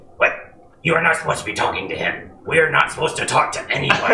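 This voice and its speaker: A man's raspy, put-on character voice at a very fast pace, with slight echo. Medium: actual play. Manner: broken, simple speech.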